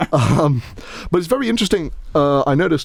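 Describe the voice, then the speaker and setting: He speaks with a British accent. His pace is moderate. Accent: posh British, self-described. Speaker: podcast host. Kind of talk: casual chat. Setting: studio. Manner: halting, many false starts.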